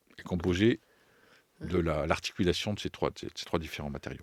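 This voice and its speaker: Male voice with vocal fry and ordinary pitch variation. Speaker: writer and poetry performer. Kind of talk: interview answer. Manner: hesitant, searching for words.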